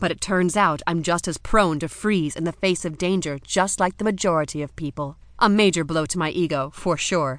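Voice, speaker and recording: Against a quiet background, a woman speaks in an unremarkable speaking voice at a moderate pace. Her pitch is fairly low, with ordinary pitch variation. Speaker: audiobook narrator. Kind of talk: dramatic first-person audiobook narration of a suspenseful fantasy romance scene. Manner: suspenseful, breathless storytelling that builds tension through the kidnapping.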